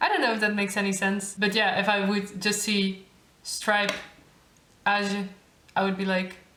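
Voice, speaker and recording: Amid noticeable background noise and audible room echo, a woman of medium pitch speaks at a moderate pace in a monotone, flat intonation with long, frequent pauses. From Netherlands. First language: Dutch. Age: 20s. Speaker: YouTuber, master's student. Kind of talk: tutorial. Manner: casual.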